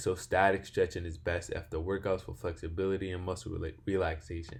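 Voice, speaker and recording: A man speaks at a fairly quick pace with a very deep, low pitch. His voice is somewhat breathy and his intonation fairly even. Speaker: fitness instructor. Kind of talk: tutorial. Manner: sluggish, halting.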